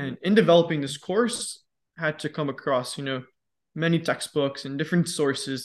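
Against a quiet background, a man talks at a moderate pace in an unremarkable speaking voice, with a fairly high pitch and ordinary pitch variation. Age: 20s. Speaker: fitness educator and podcast host. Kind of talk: casual interview.

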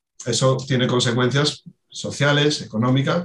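A man with a medium pitch speaks at a fairly slow pace. His voice is somewhat breathy, with fairly even intonation. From Asturias, Spain. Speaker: water footprint specialist. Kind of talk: expert interview.

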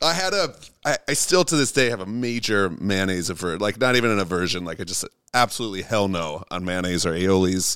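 A man with a plain, everyday voice, fairly low pitch, ordinary pitch variation and a fairly quick pace, on a very clean recording with a silent background. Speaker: music producer. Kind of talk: casual chat. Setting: in-person at host's home studio.

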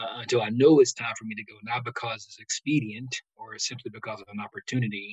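The speech comes at a fairly quick pace in an American accent, somewhat breathy, with a dry, close sound and no echo. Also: man. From West Virginia. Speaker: pastor and former NFL player. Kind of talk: interview conversation.

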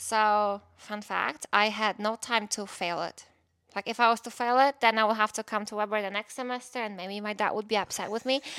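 In a very clean recording with a silent background, a voice with a Polish accent moves at a fairly quick pace in a bright, sharp tone with monotone, flat intonation. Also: woman, fairly high pitch for a woman. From Poland. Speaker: podcast co-host, former college bowler. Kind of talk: casual chat.

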